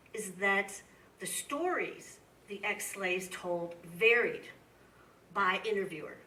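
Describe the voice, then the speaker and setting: With a Midwestern accent, a woman speaks at medium pitch in a room with audible echo. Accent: Midwestern twang. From US Midwest. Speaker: history professor. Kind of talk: lecture Q&A. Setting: museum talk with audience.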